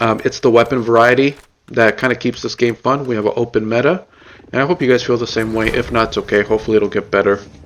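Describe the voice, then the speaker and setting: A man at a very fast pace, with fairly even intonation. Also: medium pitch for a man. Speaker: gaming streamer. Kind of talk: tutorial. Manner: casual.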